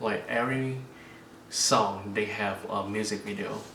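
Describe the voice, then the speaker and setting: A man's fairly low voice at a fairly slow pace, with noticeable background noise and audible room echo. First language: not English. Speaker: K-pop unboxing YouTuber. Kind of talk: casual unboxing vlog. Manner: halting, many fillers.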